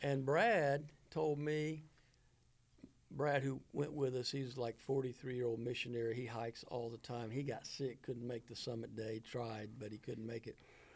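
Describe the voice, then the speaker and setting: Using an ordinary speaking voice, a man speaks at medium pitch and a moderate pace with fairly even intonation. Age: 60s. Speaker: minister. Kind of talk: casual chat.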